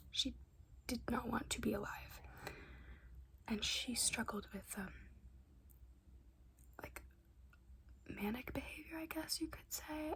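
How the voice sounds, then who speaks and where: Noticeable background noise runs under a whisper that moves fairly slowly, with long, frequent pauses. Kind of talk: ASMR book review talk to camera. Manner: whispered; casual, rambling.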